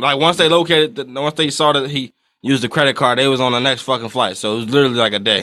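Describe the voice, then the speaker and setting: At a very fast pace, a man talks in a medium pitch with ordinary pitch variation. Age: 20s. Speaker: podcast co-host. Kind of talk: casual chat.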